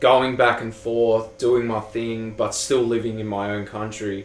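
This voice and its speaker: With an Australian accent, a man speaks at medium pitch in a monotone, flat intonation and a fairly slow pace. Audible room echo and noticeable background noise fill the recording. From Australia, Sydney (Granville). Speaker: music producer. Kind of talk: casual chat.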